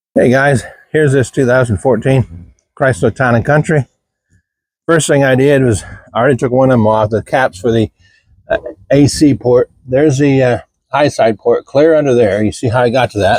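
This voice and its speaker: A man at medium pitch, moderate pace, ordinary pitch variation, very even loudness, and long, frequent pauses. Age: 60s. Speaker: DIY mechanic. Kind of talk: tutorial. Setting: outdoors. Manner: casual, halting with fillers.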